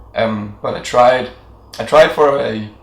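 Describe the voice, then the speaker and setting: There is audible room echo and noticeable background noise. A man talks at a medium pitch. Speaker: video blogger. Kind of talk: casual chat.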